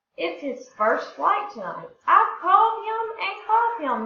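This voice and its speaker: Putting on a character voice, a woman speaks at a fairly slow pace in an extremely high pitch with a slight echo. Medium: read story.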